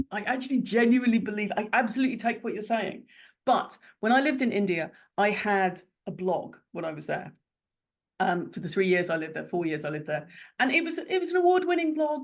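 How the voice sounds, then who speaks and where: Fairly quick and fairly high-pitched, a woman with an English accent speaks with very wide pitch swings. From Ireland. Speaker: business strategist and coach. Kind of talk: interview answer.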